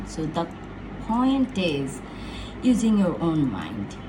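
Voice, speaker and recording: A woman speaks at a medium pitch. Audible room echo and noticeable background noise accompany her. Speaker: motivational speaker. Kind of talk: casual motivational talk. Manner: animated.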